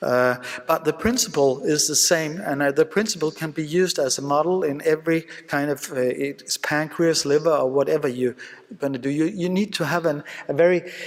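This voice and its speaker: In a Danish accent, a man talks at a moderate pace and a fairly high pitch with ordinary pitch variation against noticeable background noise. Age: 50s. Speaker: surgeon. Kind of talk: conference lecture. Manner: halting, many fillers.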